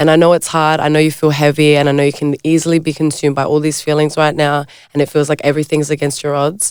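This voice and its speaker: A woman with an Australian accent talks at a very fast pace with hardly any pauses, her very deep, low pitch held in monotone, flat intonation. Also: very even loudness. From South Australia, Adelaide. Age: young. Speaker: model. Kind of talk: casual chat.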